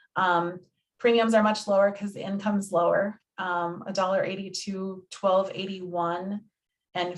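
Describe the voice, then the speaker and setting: This woman has an ordinary speaking voice at medium pitch. She talks at a fairly slow pace. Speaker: health insurance navigator. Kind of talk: presentation.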